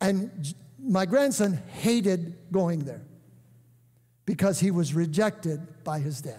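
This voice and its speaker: Against a quiet background, a man with a high pitch and a dark, mellow tone speaks at a very slow pace with long, frequent pauses. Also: lively intonation. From US, Hungarian immigrant family. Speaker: pastor; guest preacher. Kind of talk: sermon. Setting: church. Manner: animated. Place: church.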